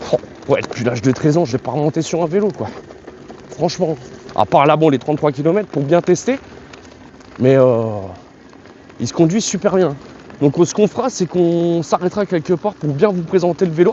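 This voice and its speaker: Noticeable background noise sits behind the speech. There are long, frequent pauses. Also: man, fairly high pitch for a man, lively intonation, fairly quick pace. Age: 30s. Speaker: YouTuber reviewing products. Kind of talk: product review while riding. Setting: outdoors on a bike. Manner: halting, many hesitations; casual.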